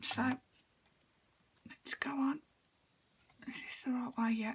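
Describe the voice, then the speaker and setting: In a British accent, a woman speaks very slowly at a high pitch, her intonation monotone and flat. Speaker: card-making crafter. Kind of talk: crafting tutorial. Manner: casual, chatty.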